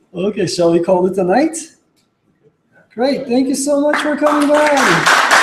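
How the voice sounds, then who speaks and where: Speaking fairly slowly with long, frequent pauses, a man with an extremely high pitch makes very wide pitch swings amid audible room echo. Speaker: computer science researcher. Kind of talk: lecture.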